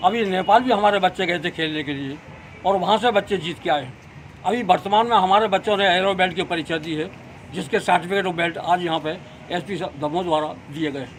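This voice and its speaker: Ordinary pitch variation and a moderate pace in a man's high-pitched voice. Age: 80s+. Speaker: martial arts coach. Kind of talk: interview statement.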